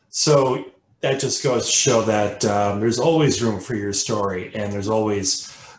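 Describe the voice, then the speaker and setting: A man's somewhat breathy voice at a moderate pace, with audible room echo. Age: 50s. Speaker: colorectal cancer survivor and advocate. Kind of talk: webinar presentation. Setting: video call. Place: home room.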